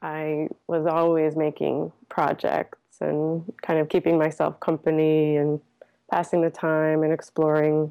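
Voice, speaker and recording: On a very clean recording with a silent background, a woman with an American accent speaks at a fairly slow pace in a very deep, low pitch, her tone dark and mellow, her intonation monotone and flat, and her loudness very even. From New England, Connecticut. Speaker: artist and meditator. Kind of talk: interview conversation. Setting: at home.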